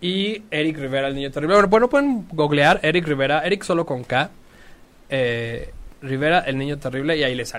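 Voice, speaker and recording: A plain, everyday voice talks at a fairly quick pace with lively intonation. Loudness swings a lot. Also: man, fairly high pitch for a man. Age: 30s. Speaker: artist. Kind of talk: casual chat.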